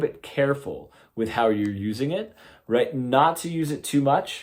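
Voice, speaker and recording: Using an ordinary speaking voice, a man talks at a fairly slow pace with lively intonation. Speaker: guitar teacher. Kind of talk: tutorial.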